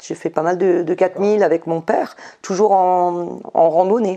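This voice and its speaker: This woman's voice sits fairly low, with a dark, mellow tone. Her intonation stays fairly even. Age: 60s. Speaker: ultra-trail runner. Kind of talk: interview. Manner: hesitant.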